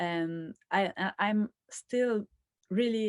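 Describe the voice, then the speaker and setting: A woman with a Quebec accent. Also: dry, close sound with no echo, very clean recording, silent background. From rural Quebec, Canada. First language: French. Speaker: filmmaker. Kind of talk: interview. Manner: halting.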